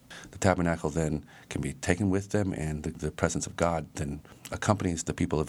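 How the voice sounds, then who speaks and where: A man speaks at a very deep, low pitch, with vocal fry in his voice. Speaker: biblical studies professor. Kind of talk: interview, academic discussion.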